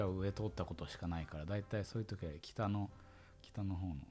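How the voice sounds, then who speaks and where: Dark and mellow in tone, a man's fairly low voice is somewhat breathy. He talks at a fairly quick pace with ordinary pitch variation. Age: 20s. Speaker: university student podcast co-host. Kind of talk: casual chat. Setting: studio.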